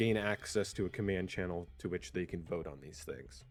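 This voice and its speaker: A quiet man's voice. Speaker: gaming community leader. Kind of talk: roleplay community briefing. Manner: hesitant, many fillers.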